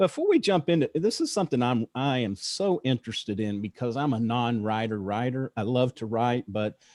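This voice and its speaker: With an American accent, a man talks at a fairly quick pace with hardly any pauses, his medium pitch and lively intonation heard in a plain, everyday voice through a dry, close sound with no echo. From Texas. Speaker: podcast host. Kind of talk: interview.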